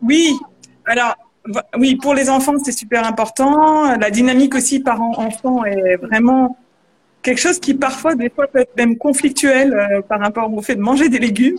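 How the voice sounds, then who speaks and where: A woman's high voice, with ordinary pitch variation, moves along at a fairly slow pace. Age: 30s. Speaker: culinary coach and former chef. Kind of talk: live video interview.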